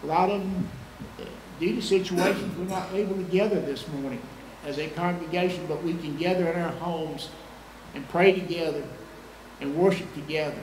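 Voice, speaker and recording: A man's high-pitched voice, fairly quick and fairly even in intonation, with audible room echo and light background noise. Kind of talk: prayer. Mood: solemn, reverent. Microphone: podium.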